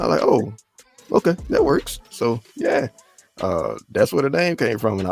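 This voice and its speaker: A man with a New Orleans accent in a dry, close sound with no echo. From US South. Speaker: rapper. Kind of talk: interview.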